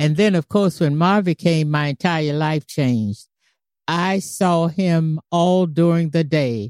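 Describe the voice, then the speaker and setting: Against a very clean recording with a silent background, a woman with a New York accent speaks very slowly at a fairly low pitch, keeping her loudness very even with ordinary pitch variation in a dry, close sound with no echo. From US, New York City. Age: 80s+. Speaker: great-grandmother guest. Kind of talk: casual family interview.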